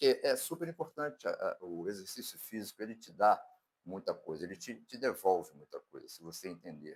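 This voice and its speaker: A man talks at a moderate pace. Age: 60s. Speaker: fitness vlogger. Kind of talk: casual vlog talk. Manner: halting, with fillers.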